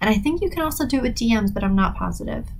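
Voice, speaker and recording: A woman speaks in a somewhat breathy voice. Room echo is audible. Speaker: podcast host, writer. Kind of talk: solo podcast talk. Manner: fast; casual, hesitant with fillers.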